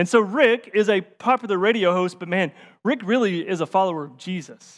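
A man speaks with a Tennessee accent. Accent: Southern US (Tennessee). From rural Tennessee, north of Nashville. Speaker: associate pastor. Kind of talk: sermon.

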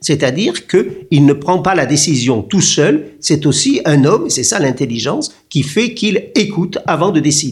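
A man is speaking. His pace is fairly slow. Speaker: history professor. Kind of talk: interview.

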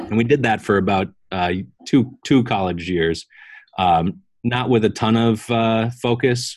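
The speaker is a man with an American accent. His pitch varies in an ordinary way. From Wisconsin. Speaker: clothing store founder. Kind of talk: interview.

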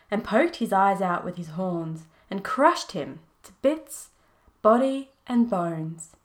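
Plain reading aloud, its intonation lively

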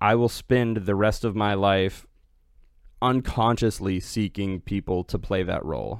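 A man speaks at a fairly slow pace in an ordinary speaking voice, fairly low in pitch with fairly even intonation. The recording is very clean, with a silent background. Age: 20s. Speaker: software engineer. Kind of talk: casual chat.

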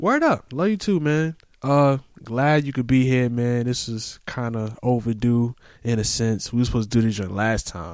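A man with an unremarkable speaking voice talks at a moderate pace and medium pitch on a very clean recording with a silent background. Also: ordinary pitch variation. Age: 30s. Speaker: podcast host. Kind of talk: casual chat.

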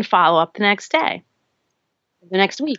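A woman with an ordinary speaking voice. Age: 40s. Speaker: sales coach. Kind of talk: interview.

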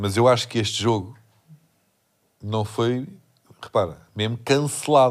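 A man's medium-pitched voice, with ordinary pitch variation, comes through a very clean recording over a silent background. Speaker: comedian podcast host. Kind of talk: casual chat. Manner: animated.

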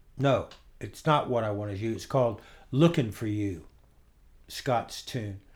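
A man with an American accent, somewhat breathy at medium pitch, ordinary pitch variation, a fairly slow pace with long, frequent pauses, in a very clean recording with a silent background. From Florida. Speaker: guitarist and songwriter. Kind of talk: casual interview. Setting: at home.

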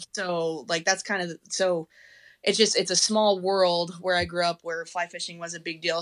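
A woman with an American accent speaks at a moderate pace in a bright, sharp tone, fairly low in pitch with monotone, flat intonation, in a very clean recording with a silent background. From Colorado. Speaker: teacher and fly rod builder. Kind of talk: casual chat.

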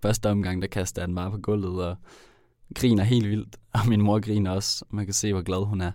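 In a very clean recording with a silent background, a man speaks in a fairly low pitch with a dark, mellow tone and monotone, flat intonation. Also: moderate pace. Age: 20s. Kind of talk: personal narration.

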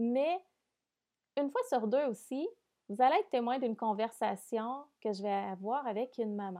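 A woman with a fairly high, dark, mellow voice and ordinary pitch variation speaks at a fairly slow pace. She leaves long, frequent pauses against a quiet background. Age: 30s. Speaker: podcast host. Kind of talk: casual monologue. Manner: hesitant, many fillers.

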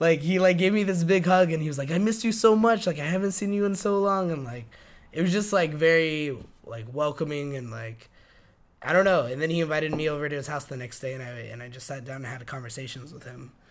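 A man with an American accent talks at a very fast pace with lively intonation and big swings in loudness, with audible room echo. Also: fairly high pitch for a man. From New Mexico, US Southwest. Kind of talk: oral history interview. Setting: interviewer's apartment. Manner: hesitant, many fillers.

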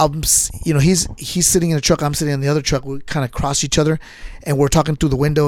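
With an ordinary speaking voice, a man talks at a fairly high pitch in fairly even intonation. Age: 50s. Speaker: podcast host and martial arts instructor. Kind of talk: casual interview.

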